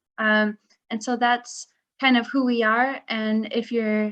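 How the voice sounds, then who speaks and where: Very slow speech with a Midwestern American accent against a quiet background. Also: woman. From US Midwest. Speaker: marketing director. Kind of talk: webinar presentation.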